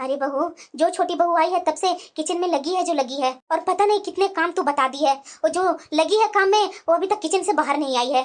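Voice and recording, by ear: This is a cartoonish character voice. It moves at a very fast pace. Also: female-sounding voice, extremely high pitch for a woman.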